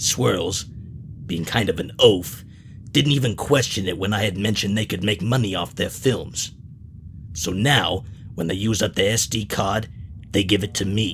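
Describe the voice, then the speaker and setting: Clear background noise runs under a man's put-on character voice. It sits fairly low in pitch and moves at a moderate pace. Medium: audio drama. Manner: blunt, profane.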